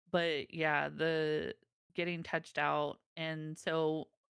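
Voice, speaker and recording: With music in the background, a woman with a very deep, low pitch speaks in a monotone, flat intonation. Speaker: mother on a streaming panel. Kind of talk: casual panel chat. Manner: halting.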